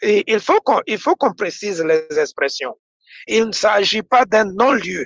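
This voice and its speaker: A man's high-pitched voice with lively intonation at a very slow pace, dry with no echo against a quiet background. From Ivory Coast. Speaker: party representative; presenter. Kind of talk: political talk show debate. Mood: earnest, emotional political appeal. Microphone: video call.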